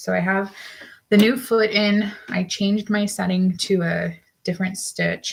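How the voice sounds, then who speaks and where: Woman's somewhat breathy voice at medium pitch, fairly slow pace and monotone, flat intonation. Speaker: crafter and seamstress. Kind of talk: casual live work-along.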